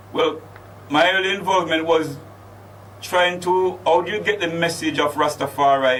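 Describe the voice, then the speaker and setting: Noticeable background noise surrounds a man whose fairly high voice carries lively intonation. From Jamaica, Clarendon, then London. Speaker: Rastafari chaplain. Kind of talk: interview.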